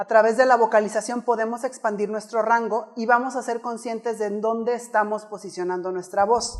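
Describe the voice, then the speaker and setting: Fairly high in pitch and fairly quick, a woman speaks in an animated tone. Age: 30s. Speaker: public speaking coach. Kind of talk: keynote talk. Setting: stage with audience.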